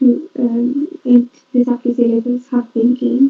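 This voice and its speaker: A soft-spoken woman has a high pitch. She speaks at a moderate pace. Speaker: conference presenter. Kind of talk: conference presentation. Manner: halting.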